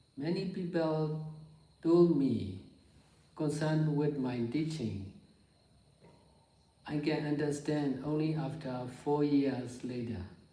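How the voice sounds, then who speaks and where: A man with a Burmese accent talks at a very slow pace with long, frequent pauses and ordinary pitch variation. Room echo is audible. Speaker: meditation teacher. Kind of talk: dharma talk. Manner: halting.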